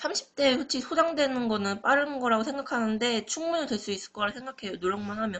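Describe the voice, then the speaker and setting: This is a woman's voice with ordinary pitch variation. She speaks at a moderate pace. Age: 20s. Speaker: university student. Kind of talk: class presentation. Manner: halting.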